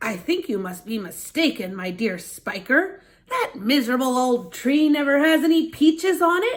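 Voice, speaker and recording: A woman puts on a character voice, high-pitched, with very wide swings in pitch. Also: moderate pace. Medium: read story. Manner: greedy, petulant.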